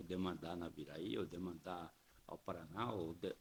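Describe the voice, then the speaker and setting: This man talks at a fairly slow pace. His voice has vocal fry. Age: 70s. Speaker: politician. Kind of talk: podcast interview. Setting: studio.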